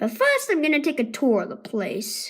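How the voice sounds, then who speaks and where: Using a put-on character voice, a woman speaks at a moderate pace in a high pitch. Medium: read story.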